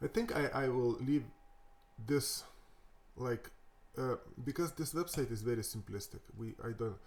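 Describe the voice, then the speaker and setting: A somewhat breathy man with a Lithuanian accent, medium pitch, ordinary pitch variation and a fairly slow pace. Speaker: web developer. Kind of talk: tutorial. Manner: halting, many fillers and repetitions.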